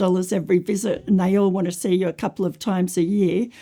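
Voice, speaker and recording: In an Australian accent, a woman speaks at a medium pitch with a dark, mellow tone and monotone, flat intonation on a very clean recording with a silent background. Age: 60s. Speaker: teacher with a lung condition. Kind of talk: personal testimony.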